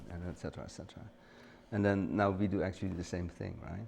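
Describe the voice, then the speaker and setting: Very fast and with fairly even intonation, a man with a Dutch accent speaks at a very deep, low pitch. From Netherlands, The Hague. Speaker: retired photographer and studio owner. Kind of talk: casual interview. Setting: studio. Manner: halting.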